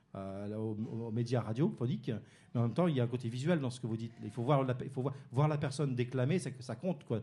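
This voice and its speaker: A man talks at a very fast pace, his voice somewhat breathy. His tone is dark and mellow. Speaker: radio interviewer. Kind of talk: local radio interview.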